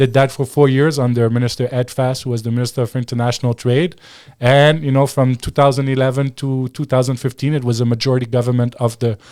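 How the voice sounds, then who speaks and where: In a very clean recording with a silent background, a man with a French accent talks fairly quickly at a medium pitch, his dark, mellow tone held to a flat monotone. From Quebec. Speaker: former political advisor and commentator. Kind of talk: interview.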